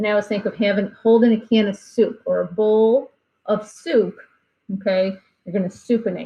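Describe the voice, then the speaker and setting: A woman speaks at a moderate pace in a somewhat breathy, dark, mellow tone. Her pitch is fairly high and her intonation fairly even. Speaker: anatomy instructor. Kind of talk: lecture.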